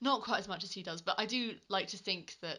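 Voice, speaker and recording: Speaking at a moderate pace, a woman with a British accent has a bright, sharp tone. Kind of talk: casual video review talk to camera. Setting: home recording without a proper microphone.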